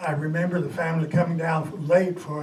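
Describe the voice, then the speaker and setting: In a US Midwestern accent, a man with a fairly high voice speaks at a moderate pace in a monotone, flat intonation, with audible room echo and noticeable background noise. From Kansas City area, Kansas. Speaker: former mayor. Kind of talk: historical talk to an audience. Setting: meeting with audience. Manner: halting, with many fillers.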